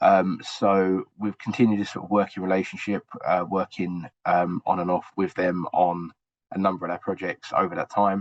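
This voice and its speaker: With an English accent, a man speaks at a very deep, low pitch in a monotone, flat intonation. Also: moderate pace. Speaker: university researcher and evaluator. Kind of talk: webinar presentation.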